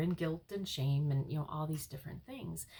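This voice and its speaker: A woman with a very deep, low pitch, somewhat breathy, dark, mellow tone and fairly even intonation. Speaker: life coach and hypnotherapist. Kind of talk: casual vlog talk. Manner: hesitant, many fillers.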